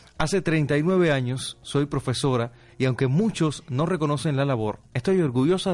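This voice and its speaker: Against a quiet background, a man with a plain, everyday voice speaks at a moderate pace, his fairly high pitch carried by lively intonation. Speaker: radio announcer. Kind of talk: reading listener comments aloud. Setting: radio studio.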